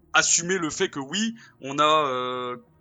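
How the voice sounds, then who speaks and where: There is music in the background as a man speaks. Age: 20s. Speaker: video game designer. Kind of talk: casual chat.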